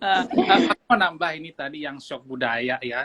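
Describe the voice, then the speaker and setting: A man talks with lively intonation. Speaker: friend joining live. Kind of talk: casual live chat. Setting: Instagram live video call, at home.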